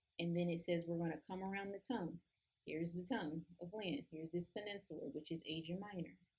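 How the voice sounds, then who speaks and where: A woman speaks at a very fast pace in a somewhat breathy, fairly low voice with ordinary pitch variation. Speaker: Bible study teacher. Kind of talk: tutorial. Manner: casual.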